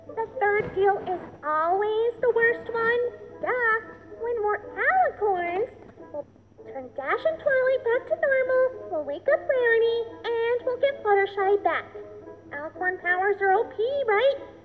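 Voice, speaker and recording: A cartoonish character voice, female-sounding and extremely high-pitched, at a fairly slow pace over clear background noise. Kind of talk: comic overacting. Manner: bubbly, excitable.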